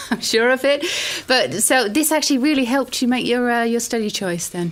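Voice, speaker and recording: Over noticeable background noise, a woman with a British accent speaks at a fairly quick pace in a high pitch with ordinary pitch variation. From Britain. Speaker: lecturer and open day host. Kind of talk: online open day presentation.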